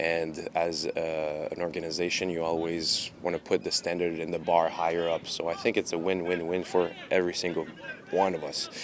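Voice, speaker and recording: Over noticeable background noise, a man with a Quebec accent speaks at a moderate pace in a very deep, low voice with monotone, flat intonation. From Quebec, Montreal. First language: French. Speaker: professional soccer goalkeeper. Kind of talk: press conference interview. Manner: halting, many fillers.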